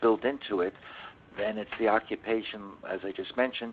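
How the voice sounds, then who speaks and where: A man's normal speaking voice, medium in pitch, fairly even in intonation, at a fairly quick pace. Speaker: insurance expert panelist. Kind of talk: webinar Q&A. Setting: webcast.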